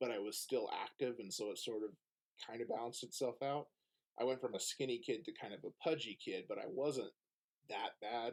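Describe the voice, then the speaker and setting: A man with an American accent speaks at a fairly quick pace in a normal speaking voice, his pitch medium and its variation ordinary. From Oklahoma. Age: 30s. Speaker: podcast guest. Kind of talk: casual chat.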